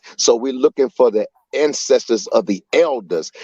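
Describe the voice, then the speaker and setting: In an American accent, a man speaks at a moderate pace with an animated tone and lively intonation, the sound dry and close with no echo. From Chicago. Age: 60s. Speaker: community activist. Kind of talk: panel discussion.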